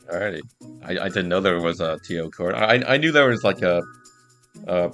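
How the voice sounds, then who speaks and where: With music in the background, a man with a very deep, low pitch and ordinary pitch variation speaks at a moderate pace with long, frequent pauses. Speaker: podcast host. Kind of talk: casual podcast conversation.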